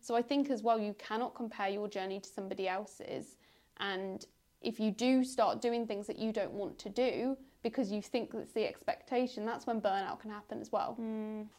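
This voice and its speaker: With a normal speaking voice, a woman talks at a moderate pace, fairly high in pitch and with fairly even intonation, on a very clean recording with a silent background. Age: 20s. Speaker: podcast host. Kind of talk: casual chat.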